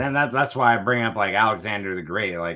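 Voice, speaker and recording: In a very clean recording with a silent background, a man with an American accent lets his pitch swing very widely. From Southern California. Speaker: reptile breeder. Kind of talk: casual interview.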